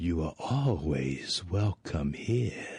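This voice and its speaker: A man's put-on character voice at a very deep, low pitch. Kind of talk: game voice acting. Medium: video game. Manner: formal, measured.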